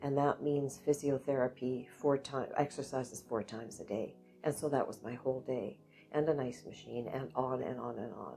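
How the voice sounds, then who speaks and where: A woman with a Canadian accent and very deep, low pitch, at a moderate pace with ordinary pitch variation, music in the background. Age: 70s. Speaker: interviewee sharing life story. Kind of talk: personal interview testimony.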